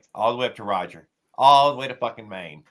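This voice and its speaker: A man's bright, sharp tone at a very fast pace. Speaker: live stream host. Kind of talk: casual chat. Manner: loud.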